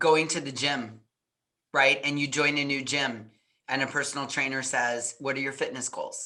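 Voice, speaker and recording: Loud and bright with a sharp tone, a woman speaks at a moderate pace in a very deep, low voice with monotone, flat intonation. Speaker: parenting coach. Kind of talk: interview.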